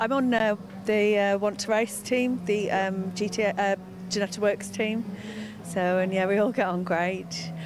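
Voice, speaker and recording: Over noticeable background noise, a woman speaks at a medium pitch and a fairly slow pace. Her intonation is monotone and flat, and her loudness stays very even. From Wales, Anglesey area. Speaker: racing driver. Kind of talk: interview. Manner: halting.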